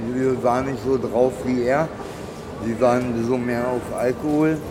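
A man's medium-pitched voice at a moderate pace, fairly even in intonation, with audible room echo and noticeable background noise. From Berlin. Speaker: homeless man. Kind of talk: casual chat. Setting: underground train station.

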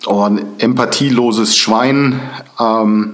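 A man's fairly even intonation, with audible room echo. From northern Germany, Lübeck. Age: 40s. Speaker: former neo-Nazi turned prevention speaker. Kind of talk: interview.

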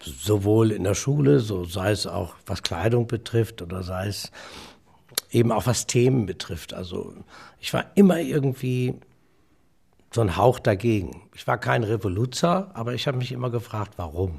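Speaking at a moderate pace, a man with a fairly low pitch and vocal fry uses lively intonation. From Osnabrück, Lower Saxony, northern Germany. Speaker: comedian and entertainer. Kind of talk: casual interview. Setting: remote line. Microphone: good sound quality.

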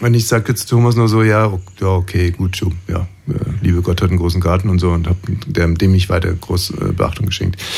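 A man's very deep, low voice, fairly quick and fairly even in intonation, over noticeable background noise. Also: very even loudness. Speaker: radio host. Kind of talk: casual chat.

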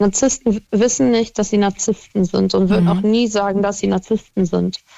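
A woman speaks at a medium pitch at a moderate pace. She has a normal speaking voice. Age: 20s. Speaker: caller. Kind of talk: phone-in chat.

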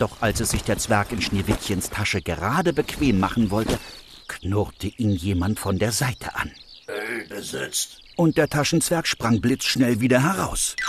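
With a plain, everyday voice, a man speaks at a fairly slow pace and a fairly low pitch, his intonation lively. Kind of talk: fairy tale narration. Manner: calm, gentle storytelling pace.

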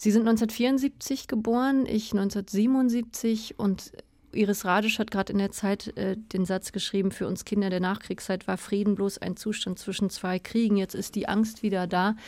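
A woman speaks in an ordinary speaking voice at medium pitch and a fairly slow pace. Her intonation stays fairly even, and the recording is very clean with a silent background. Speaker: radio literature host. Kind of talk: radio interview. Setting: radio studio.

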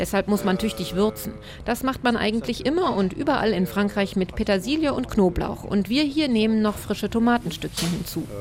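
Over background music, the speaker talks at a fairly quick pace with lively intonation and very even loudness. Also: woman, fairly high pitch for a woman. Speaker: radio reporter. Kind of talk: scripted narration.

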